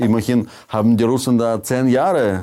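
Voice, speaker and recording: A man speaks at a fairly slow pace. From Soviet Union. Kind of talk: casual chat.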